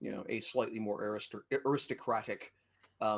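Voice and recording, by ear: Natural-voiced reading aloud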